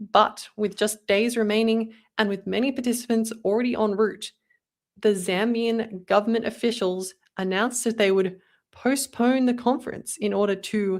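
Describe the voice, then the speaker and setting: With an Australian accent, a woman speaks at a fairly high pitch and a moderate pace with fairly even intonation, on a very clean recording with a silent background. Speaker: podcast co-host. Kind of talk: casual chat; reading aloud.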